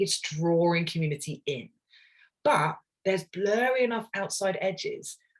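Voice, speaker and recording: Somewhat breathy and with lively intonation, a woman of medium pitch speaks with an English accent. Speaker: ministry leader. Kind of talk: webinar presentation. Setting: online webinar. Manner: fast.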